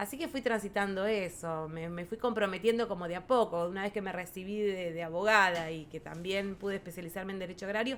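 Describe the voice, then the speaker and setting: Fairly quick speech in a Rioplatense accent, with hardly any pauses and ordinary pitch variation. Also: woman, medium pitch for a woman. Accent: Argentine Rioplatense Spanish. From rural Buenos Aires province, Argentina. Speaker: farmers' federation president, agrarian lawyer. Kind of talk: podcast interview answer.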